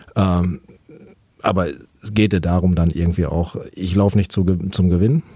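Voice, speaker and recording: A man speaks with a very deep, low pitch and a dark, mellow tone. His pitch varies in an ordinary way. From Germany, Paderborn (Westphalia). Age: 40s. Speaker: ultrarunner. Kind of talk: interview. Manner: hesitant, many filler sounds.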